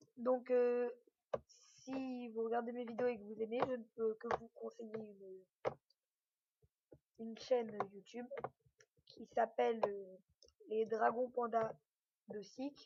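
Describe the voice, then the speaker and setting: A woman with a fairly high pitch and a dark, mellow tone speaks in monotone, flat intonation. Her very slow delivery has long, frequent pauses and big swings in loudness. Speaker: gaming YouTuber. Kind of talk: gameplay commentary. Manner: hesitant, many fillers.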